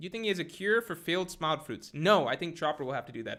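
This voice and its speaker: In a very clean recording with a silent background, a man speaks with very wide pitch swings. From Indian heritage. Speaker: anime youtuber, streamer. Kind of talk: live stream chat reading. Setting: live stream.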